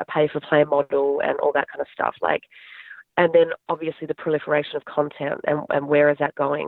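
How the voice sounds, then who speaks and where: A woman with an Australian accent. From Australia, Adelaide. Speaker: talent manager and entrepreneur. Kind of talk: interview.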